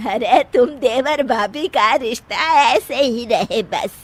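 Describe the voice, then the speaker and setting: In a cartoonish character voice, a woman speaks at a fairly slow pace, her high pitch carrying lively intonation. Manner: gentle, motherly.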